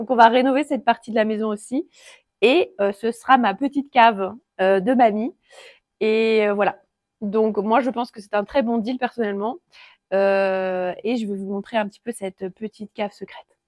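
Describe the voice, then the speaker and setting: A woman's fairly high voice with ordinary pitch variation, dry and close with no echo, on a very clean recording with a silent background. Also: moderate pace, big swings in loudness. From France, Alsatian Vosges. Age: 30s. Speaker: carpenter. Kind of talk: casual walkthrough tour. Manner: relaxed, hesitant with fillers.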